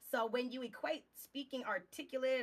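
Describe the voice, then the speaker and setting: Her pitch fairly high, a woman speaks with a Texas accent. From Southeast Texas. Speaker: game streamer. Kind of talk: casual chat. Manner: articulate.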